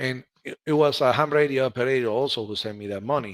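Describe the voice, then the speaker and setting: The speaker has a Spanish accent and a fairly quick pace. The sound is dry and close, with no echo. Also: man. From Cuba. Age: 40s. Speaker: ham radio operator. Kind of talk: interview. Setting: live stream.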